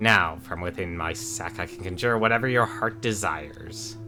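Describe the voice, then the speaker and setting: With clear music in the background, a man uses a put-on character voice at a medium pitch and moderate pace. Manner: eager, hurried.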